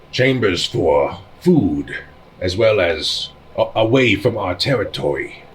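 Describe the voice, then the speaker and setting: Using a put-on character voice, a man speaks at medium pitch. His pace is fairly slow. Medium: actual play. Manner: curt, presumptuous.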